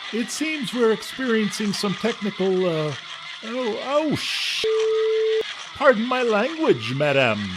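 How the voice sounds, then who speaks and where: A man puts on a character voice, pitched high and delivered at a fairly slow pace over loud background noise. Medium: audio drama. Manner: smarmy, overly flattering salesman.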